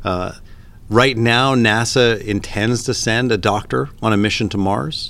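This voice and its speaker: Speech comes at a fairly slow pace with ordinary pitch variation. It is a plain, everyday voice with a Canadian accent. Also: man, medium pitch for a man. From Canada. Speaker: emergency physician and space medicine scientist. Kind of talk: interview.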